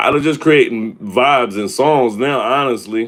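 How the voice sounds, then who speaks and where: In a very clean recording against a silent background, a man is talking. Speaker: hip hop artist and label head. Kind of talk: live stream Q&A. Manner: casual, filler-heavy.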